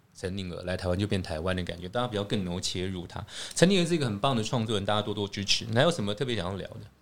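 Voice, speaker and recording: This man talks at a very fast pace in a fairly low pitch, his intonation lively. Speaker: podcast host. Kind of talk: casual chat. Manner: loud; animated.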